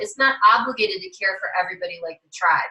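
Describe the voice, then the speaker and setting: Here a woman speaks in a bright, sharp tone. Her pace is fairly quick. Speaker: life coach presenting at an online summit. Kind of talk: online workshop presentation. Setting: virtual summit livestream.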